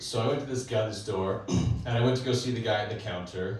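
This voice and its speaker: With ordinary pitch variation and a moderate pace, a man speaks amid audible room echo. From Canada, British Columbia. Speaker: stand-up comedian. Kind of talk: stand-up. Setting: stage with audience.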